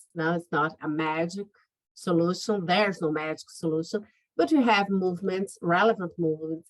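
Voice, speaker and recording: With a Brazilian Portuguese accent, the speaker keeps a moderate pace and fairly even intonation. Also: woman, fairly low pitch for a woman. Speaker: lawyer. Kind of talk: interview.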